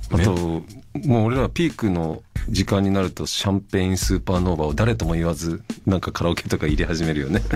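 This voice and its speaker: Very deep and low, a man's voice moves at a fairly quick pace with lively intonation. Light background noise is present. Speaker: musician. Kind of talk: radio guest conversation. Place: studio.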